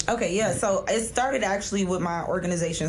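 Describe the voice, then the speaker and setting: A woman at a very fast pace, medium in pitch with fairly even intonation, over noticeable background noise. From South Florida, US. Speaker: author.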